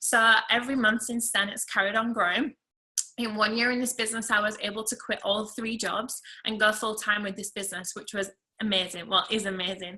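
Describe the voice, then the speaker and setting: Using an English accent, a woman talks at a fairly quick pace in a bright, sharp tone. Her intonation stays monotone and flat. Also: fairly high pitch for a woman. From England. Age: 20s. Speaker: network marketing seller. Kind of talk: testimony.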